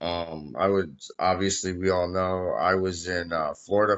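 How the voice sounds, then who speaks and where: Speaking fairly slowly, a man talks in an American accent. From Massachusetts, western (East Hampton, Springfield area). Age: 30s. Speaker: construction worker. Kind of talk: casual chat. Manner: loud.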